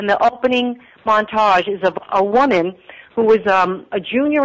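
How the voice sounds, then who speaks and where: A woman's unremarkable speaking voice, her pitch in the medium range and her pitch variation ordinary. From New York. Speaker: women's history presenter. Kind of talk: interview.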